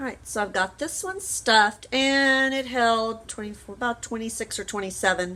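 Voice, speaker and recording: Her voice is fairly high for a woman, bright and sharp in tone, with a Southern US accent. She shows ordinary pitch variation and hardly any pauses. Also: moderate pace. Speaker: home canning vlogger. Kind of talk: cooking tutorial. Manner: casual, rambling.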